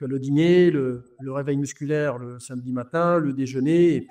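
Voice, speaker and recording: Speaking at a moderate pace, a man with a fairly high, dark and mellow voice keeps his intonation fairly even while his loudness swings widely. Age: 60s. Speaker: football coach. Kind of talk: interview. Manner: halting, many hesitations.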